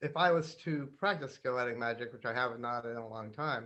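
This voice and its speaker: A man talks at a moderate pace with ordinary pitch variation. His tone is bright and sharp. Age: 60s. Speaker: author and magic practitioner. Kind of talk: interview. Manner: hesitant, many fillers.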